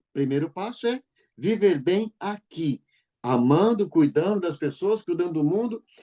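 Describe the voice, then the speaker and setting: A man's high voice with a dark, mellow tone, lively intonation and a fairly slow pace. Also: dry, close sound with no echo. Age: 60s. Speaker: radio host. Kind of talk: casual chat.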